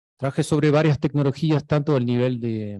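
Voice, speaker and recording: A man with an Argentine accent has a dark, mellow tone and ordinary pitch variation. The sound is dry and close, with no echo. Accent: Argentine-tinged Spanish. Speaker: sociologist, researcher. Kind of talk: lecture. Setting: university lecture hall, also streamed online.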